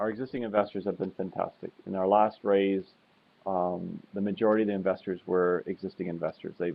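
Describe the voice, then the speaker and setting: A man with a Canadian accent, an unremarkable speaking voice, fairly low-pitched and fairly quick. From Canada. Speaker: oil company executive. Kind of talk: investor webinar interview. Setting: webinar with slides.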